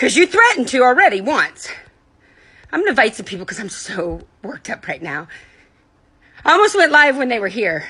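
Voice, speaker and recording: Projecting a raised voice, a woman speaks at a fairly quick pace and high pitch, with very wide pitch swings and long, frequent pauses. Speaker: livestreamer and foundation founder. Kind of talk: angry livestream rant. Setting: live video stream. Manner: loud; animated.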